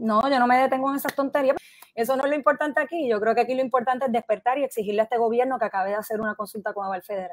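A woman talks at a very fast pace with a high pitch and ordinary pitch variation, the sound dry with no echo. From Puerto Rico and US mainland. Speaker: political commentator. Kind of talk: interview. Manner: halting. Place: home room. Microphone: earbuds.

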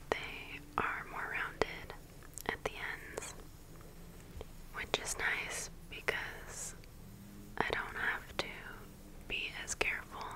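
There are long, frequent pauses. A woman whispers very slowly throughout. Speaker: ASMR creator. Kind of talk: ASMR hair play roleplay. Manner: whispered, soft-spoken. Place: home room.

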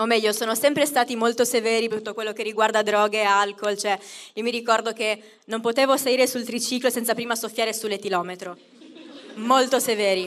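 At a fairly quick pace, a woman speaks with an animated tone and a fairly high pitch. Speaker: stand-up comedian. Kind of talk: stand-up comedy. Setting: stage with audience. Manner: comic crowd work with self-mocking jokes. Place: stage. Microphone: handheld.

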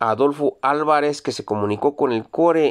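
A man's fairly high voice, a normal speaking voice, against a quiet background. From Mexico, Zacatecas. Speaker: YouTuber reading viewer greetings. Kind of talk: casual greetings show. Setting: Jalpa, Zacatecas. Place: car. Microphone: phone near.

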